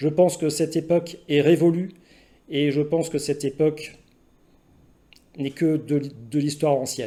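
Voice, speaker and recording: Fairly high in pitch, a man's voice has a dark, mellow tone and monotone, flat intonation. He keeps a moderate pace with long, frequent pauses. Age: 50s. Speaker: emergency doctor. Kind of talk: personal testimony to camera. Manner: hesitant, many filler sounds.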